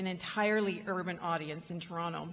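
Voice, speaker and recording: A Canadian accent with audible room echo. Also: woman. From Canada. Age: 50s. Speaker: rural entrepreneurship advocate. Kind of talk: conference keynote talk. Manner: halting, with many fillers.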